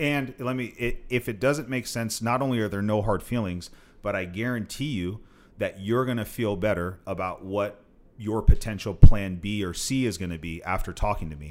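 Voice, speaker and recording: This fairly low-pitched man has an unremarkable speaking voice, with ordinary pitch variation and a moderate pace. The recording is very clean, with a silent background. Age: 30s. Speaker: real estate investor and mentor. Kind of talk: casual chat.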